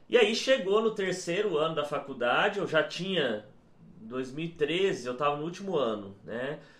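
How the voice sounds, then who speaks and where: A man with a high pitch and lively intonation speaks against noticeable background noise. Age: 30s. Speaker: geography teacher. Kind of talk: casual interview.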